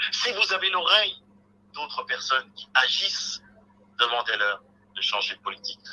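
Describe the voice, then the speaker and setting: A man speaks at a moderate pace, with long, frequent pauses and big swings in loudness. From Republic of the Congo. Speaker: think tank researcher; guest. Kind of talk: televised debate; debate commentary. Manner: halting.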